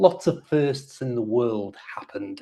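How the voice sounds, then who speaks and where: A man speaks in a Liverpool accent. His pace is fairly slow. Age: 60s. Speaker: English teacher YouTuber. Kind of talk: casual chat.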